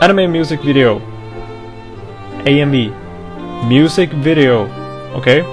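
A man with a non-native accent and a fairly high pitch, with ordinary pitch variation, long and frequent pauses, and clear music in the background. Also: moderate pace. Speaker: anime music video editor. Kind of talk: angry rant to camera. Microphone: headset.

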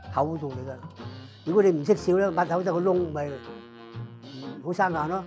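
With clear music in the background, a man speaks at a high pitch with fairly even intonation. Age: 80s+. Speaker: photography studio owner. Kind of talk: interview answer. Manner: casual, conversational. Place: shop.

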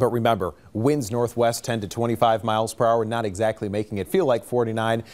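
The speaker is a man. His pitch sits in the medium range. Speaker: TV meteorologist. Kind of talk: weather report, broadcast forecast delivered to camera, conversational. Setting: TV studio. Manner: brisk, fluent, friendly and matter-of-fact, rattling off temperatures and conditions. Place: studio.

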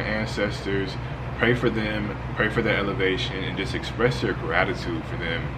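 A man delivers his words at a moderate pace amid noticeable background noise. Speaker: spiritual content creator. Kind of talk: tutorial. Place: home room.

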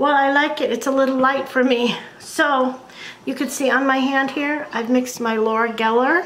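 A woman speaks at a high pitch. Her intonation stays monotone and flat. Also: moderate pace. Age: 60s. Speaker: beauty and makeup video creator. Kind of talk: makeup tutorial talk to camera. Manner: casual, relaxed. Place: home room. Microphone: webcam.

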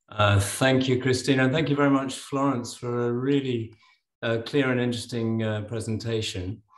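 A man at a moderate pace with fairly even intonation, audible room echo and a quiet background. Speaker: animal health worker asking a question; webinar panelist. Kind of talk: audience question. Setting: video call. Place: home room. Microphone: video call.

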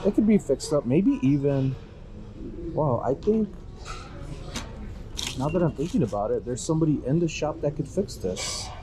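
A man at a moderate pace with long, frequent pauses, over noticeable background noise. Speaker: reseller thrifting. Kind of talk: casual vlog chat. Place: shop. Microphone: phone near.

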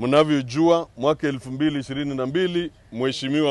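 The sound is dry with no echo as a man talks with fairly even intonation. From Kenya. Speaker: party official. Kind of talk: political speech. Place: open country. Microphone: handheld.

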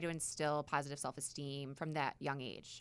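A woman at a fairly slow pace. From New York. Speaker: nonprofit executive director. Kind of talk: radio interview. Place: studio. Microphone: studio mic.

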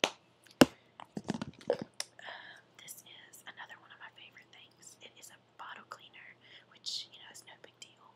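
A woman whispers at a moderate pace with an American accent. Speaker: mother. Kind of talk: ASMR show and tell. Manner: whispered. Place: home room. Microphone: webcam.

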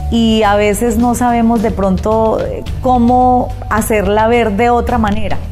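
Clear music plays behind a woman who talks at a fairly slow pace. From Colombia. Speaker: radio announcer and artist. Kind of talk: interview answer. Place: home room. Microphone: lapel.

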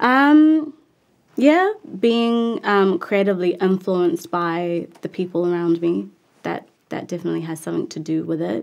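Here a woman talks with a New Zealand accent at a moderate pace. Her pitch swings very widely. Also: medium pitch for a woman, quiet background. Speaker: actress and musician. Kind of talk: interview. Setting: studio.

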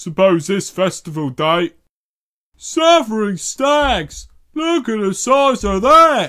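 A man uses a put-on character voice, high-pitched and raised, projected, with very wide pitch swings at a very slow pace. The recording is very clean and the background silent. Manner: slow, hesitant.

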